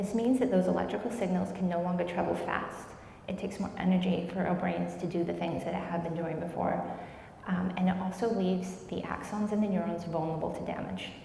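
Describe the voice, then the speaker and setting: Amid noticeable background noise and audible room echo, a woman of medium pitch talks at a fairly quick pace. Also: fairly even intonation. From New Zealand, Wellington. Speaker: MS researcher. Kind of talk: lecture. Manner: fast.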